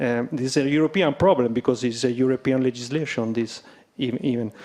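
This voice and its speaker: With an Italian accent, a man speaks in a dark, mellow tone. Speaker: wine producer. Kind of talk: panel discussion. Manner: halting.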